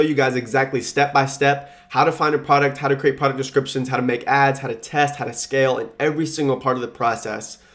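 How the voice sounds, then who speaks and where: At a very fast pace, a man talks at a fairly high pitch with monotone, flat intonation. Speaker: dropshipping YouTuber and consultant. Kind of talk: tutorial.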